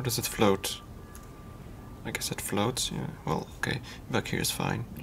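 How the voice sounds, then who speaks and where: A man whispers fairly slowly while noticeable background noise carries on around him. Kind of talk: casual gameplay commentary, thinking aloud while playing. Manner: soft-spoken, calm, quiet.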